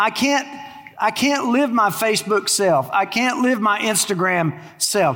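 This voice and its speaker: With an American accent, a man talks in a raised, projected voice at a high pitch and a fairly slow pace, with lively intonation and very even loudness. Noticeable background noise can be heard. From Texas. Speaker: pastor. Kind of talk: sermon. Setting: church.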